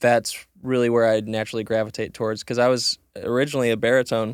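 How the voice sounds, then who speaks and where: With an American accent, a man speaks very fast at a medium pitch, the sound dry and close with no echo, on a very clean recording with a silent background. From US Midwest, Chicago area. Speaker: singer-songwriter. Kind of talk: casual interview chat. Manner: animated, repeats words with false starts.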